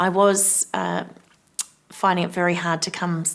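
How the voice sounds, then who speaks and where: A woman with an Australian accent speaks at a moderate pace in a fairly low, flat monotone. Background noise is noticeable. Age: 40s. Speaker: cancer survivor. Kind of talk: testimony. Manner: halting.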